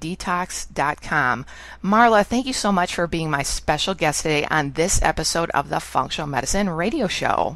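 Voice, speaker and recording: A woman with an American accent speaks in an unremarkable speaking voice, fairly low in pitch, at a moderate pace with lively intonation and hardly any pauses, on a very clean recording with a silent background. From US Midwest (Chicago). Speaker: radio show host, chiropractor and naturopath. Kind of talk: interview.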